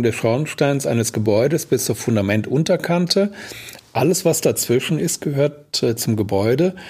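A man with a plain, everyday voice talks at a fairly slow pace. His intonation is lively. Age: 60s. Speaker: building damage expert and lecturer. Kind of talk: interview conversation.

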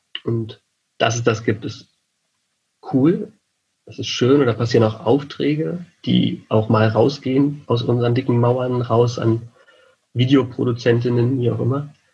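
Slow and breathy, a man speaks at a fairly slow pace with long, frequent pauses in a dark, mellow, medium-pitched tone, keeping fairly even intonation but with big swings in loudness. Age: 30s. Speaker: event technician and lecturer. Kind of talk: interview.

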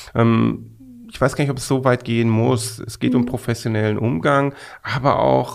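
A man's medium-pitched voice shows ordinary pitch variation and moves at a fairly quick speed. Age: 50s. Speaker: management consultant. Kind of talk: interview. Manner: halting, many fillers.

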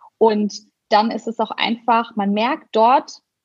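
The voice is somewhat breathy and moves at a very slow pace. Its intonation stays fairly even. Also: woman. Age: 30s. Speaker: blogger and influencer. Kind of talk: casual interview.

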